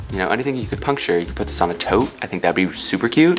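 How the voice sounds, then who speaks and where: Over music in the background, a man talks with an American accent. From San Francisco. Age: 20s. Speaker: YouTuber. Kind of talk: tutorial. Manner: animated.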